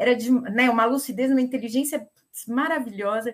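Her voice an unremarkable speaking voice, a woman talks at a moderate pace with a fairly high pitch. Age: 50s. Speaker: gerontologist, longevity specialist. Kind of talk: panel discussion.

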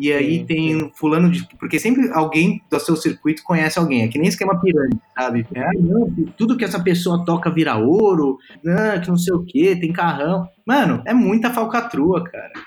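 Here a man speaks with lively intonation at a high pitch. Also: moderate pace. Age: 30s. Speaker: tech startup founder. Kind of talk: interview.

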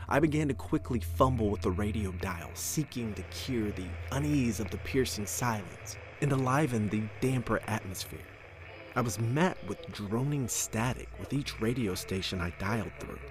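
A man talks in an ordinary speaking voice with fairly low pitch. His intonation is lively and his pace moderate. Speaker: podcast narrator. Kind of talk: horror story narration, reading aloud.

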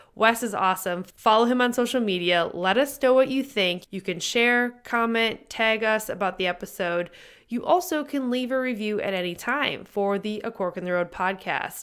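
An ordinary speaking voice from a woman, fairly high-pitched, at a moderate pace with ordinary pitch variation, on a very clean recording with a silent background. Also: hardly any pauses. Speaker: podcast host. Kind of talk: casual interview chat.

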